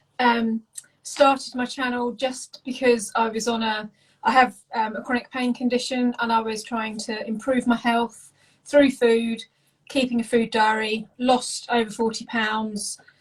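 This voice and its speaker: A woman with an English accent talks at a fairly slow pace, her fairly high voice monotone and flat. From England. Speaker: home cook and food content creator. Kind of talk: casual interview chat.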